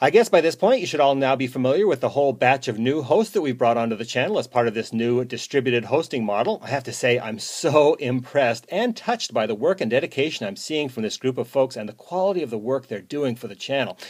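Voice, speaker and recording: Speaking at a very fast pace with hardly any pauses, a man keeps a medium pitch and lively intonation. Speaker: podcast host. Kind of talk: podcast host outro. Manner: enthusiastic.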